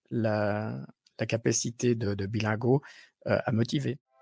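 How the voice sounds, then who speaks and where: Over a quiet background, a man with a dark, mellow tone speaks with fairly even intonation. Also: dry, close sound with no echo. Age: 50s. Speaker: technical development manager. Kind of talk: testimonial interview answer. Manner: hesitant, many fillers.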